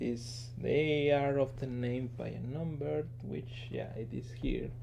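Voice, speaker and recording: A man speaks very slowly with ordinary pitch variation. Room echo can be heard. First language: not English. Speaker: engineer and toy collector. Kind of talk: casual show-and-tell video. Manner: halting, many fillers.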